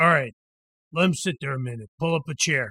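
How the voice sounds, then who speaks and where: Putting on a raspy character voice, a man talks at a fairly quick pace and a fairly high pitch with ordinary pitch variation, and the sound is dry and close with no echo. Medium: read story. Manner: terse, gruff.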